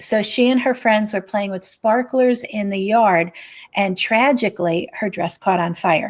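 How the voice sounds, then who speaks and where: The voice is a plain, everyday voice with an American accent, and it moves at a fairly slow pace. Its pitch varies in an ordinary way. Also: woman, fairly high pitch for a woman. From Scranton, Pennsylvania, US. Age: 60s. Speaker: novelist. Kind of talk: interview.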